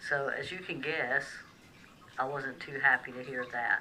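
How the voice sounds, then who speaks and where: Noticeable background noise sits behind a woman with a Southern US accent whose very deep, low pitch stays in a monotone, flat intonation. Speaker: vlogger sharing personal medical experience. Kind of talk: personal vlog testimony. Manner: hesitant, frequent fillers.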